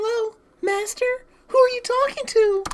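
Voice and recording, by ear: Someone puts on a character voice at an extremely high pitch, speaking at a moderate pace.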